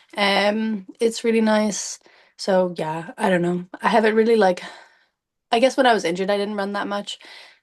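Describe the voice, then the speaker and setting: A woman in a Cork accent talks at a moderate pace and medium pitch with fairly even intonation. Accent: Cork Irish. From Ireland, County Cork. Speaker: athlete, runner. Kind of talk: casual interview chat. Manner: casual, hesitant with many fillers.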